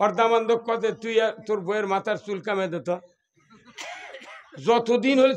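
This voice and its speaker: A man is speaking. His pitch is high. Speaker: Islamic preacher. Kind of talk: humorous religious sermon.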